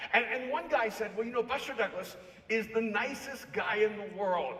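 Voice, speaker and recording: A man speaks in a high voice at a moderate pace. Noticeable background noise is audible. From El Salvador. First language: Spanish. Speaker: author and speaker. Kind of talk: keynote talk.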